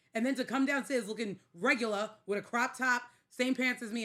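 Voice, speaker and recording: A woman's fairly high-pitched, bright, sharp voice, animated in tone, with ordinary pitch variation. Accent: New York. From New York. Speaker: podcast co-host. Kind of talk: casual chat.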